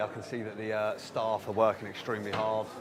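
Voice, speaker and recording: A man with a fairly low pitch is heard with audible room echo and noticeable background noise. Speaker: live stream host giving venue tour. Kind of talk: walking tour commentary. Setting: conference venue, walking around.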